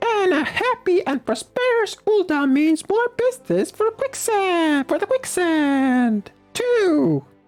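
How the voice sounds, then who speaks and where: A man's put-on character voice, squeaky and extremely high-pitched, at a fairly slow pace with hardly any pauses, faint music in the background. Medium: fan dub. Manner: folksy, talkative, dryly humorous.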